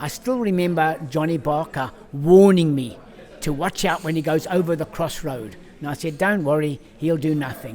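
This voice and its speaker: A man talks in a fairly high pitch while noticeable background noise carries on. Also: ordinary pitch variation, moderate pace. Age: 70s. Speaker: retired jockey and boot maker. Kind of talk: interview storytelling. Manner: animated.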